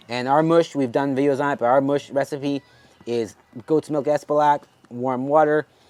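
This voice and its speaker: Heard dry and close with no echo, a man talks in an animated tone at a fairly high pitch. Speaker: dog breeder. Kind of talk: casual tutorial. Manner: fast; casual, animated.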